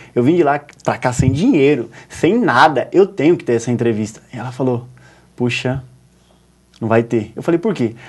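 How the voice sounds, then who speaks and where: An animated speaker with ordinary pitch variation talks at a moderate pace, leaving long, frequent pauses. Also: man, medium pitch for a man. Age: 20s. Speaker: journalist and writer. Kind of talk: TV interview storytelling.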